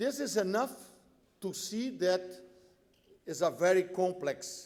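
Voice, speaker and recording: In a Brazilian accent, a man talks at a very slow pace with a high pitch. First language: Portuguese. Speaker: tax policy expert. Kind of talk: conference speech. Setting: conference panel with audience.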